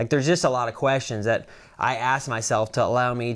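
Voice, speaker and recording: An ordinary speaking voice from a man at a fairly quick pace, on a very clean recording with a silent background. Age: 30s. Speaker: professional calf roper. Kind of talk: casual interview.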